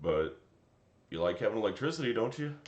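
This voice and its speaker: A man's voice with audible room echo. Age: 30s. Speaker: tree service foreman and streamer. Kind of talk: casual live stream chat reading comments.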